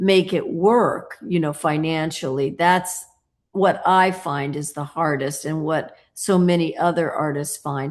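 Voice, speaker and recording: A woman with an American accent has a normal speaking voice at fairly low pitch and ordinary pitch variation. She talks at a fairly slow pace over a quiet background. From United States. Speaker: sculptor. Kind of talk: interview.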